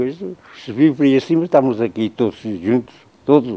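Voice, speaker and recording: The voice has a dark, mellow tone, with lively intonation at a fairly quick pace. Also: man. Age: 80s+. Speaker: elderly villager. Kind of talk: interview reminiscence. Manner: halting.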